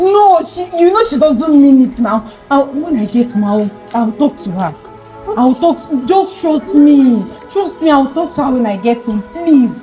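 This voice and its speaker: Faint music plays in the background. A woman speaks at a high pitch. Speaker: skit actress. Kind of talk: dramatic skit dialogue and monologue. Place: street.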